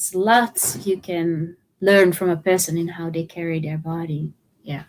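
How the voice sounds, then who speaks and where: A woman speaks at a moderate pace with a Dutch accent, her fairly low voice keeping a fairly even intonation. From Netherlands. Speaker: trauma therapist and movement educator. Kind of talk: interview.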